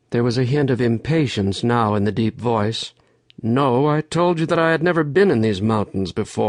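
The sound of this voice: Reading in an unforced voice.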